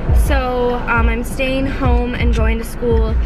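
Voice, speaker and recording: Over music in the background, a woman talks at a fairly slow pace. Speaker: vlogger. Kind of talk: casual vlog chat. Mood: relaxed, candid. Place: car. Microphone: phone near.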